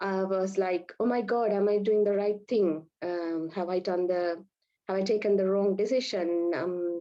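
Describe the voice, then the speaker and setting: A woman at medium pitch with a Sri Lankan accent, fairly even intonation and a fairly slow pace. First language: Sinhala. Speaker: Ayurvedic and Unani doctor. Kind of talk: webinar presentation. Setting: online webinar. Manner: hesitant, many fillers.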